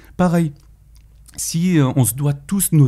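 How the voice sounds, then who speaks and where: Breathiness comes through to some degree. The tone is dark and mellow. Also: man. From Paris, France. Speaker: former trader, finance commentator. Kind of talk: casual interview. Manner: halting, many repetitions.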